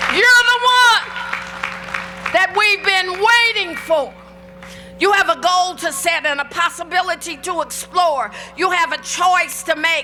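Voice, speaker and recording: A woman's extremely high-pitched, raised and projected voice in an animated tone, at a fairly slow pace with ordinary pitch variation and music in the background. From Indianapolis. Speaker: professional speaker and lawyer. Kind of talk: commencement speech. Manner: big, broad, animated, engaging.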